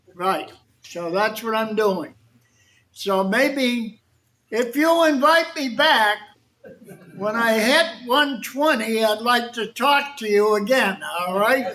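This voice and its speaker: A raised, projected voice with a bright, sharp tone speaks in an American accent. The pace is very slow, with long, frequent pauses. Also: man, extremely high pitch for a man, ordinary pitch variation. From Boston, Massachusetts (South Boston). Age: 80s+. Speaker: war veteran. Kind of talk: talk to an audience. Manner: conversational.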